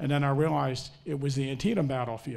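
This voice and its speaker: With an American accent, a man has a normal speaking voice, fairly high in pitch, and fairly even intonation. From Maryland, US Mid-Atlantic. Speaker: historian; panelist. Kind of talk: panel discussion. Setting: stage with audience. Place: hall. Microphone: handheld.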